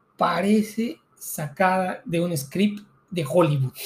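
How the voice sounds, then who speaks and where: In a very clean recording with a silent background, a man speaks at a very slow pace in a high pitch with ordinary pitch variation. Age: 40s. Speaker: teacher and podcast co-host. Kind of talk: casual chat.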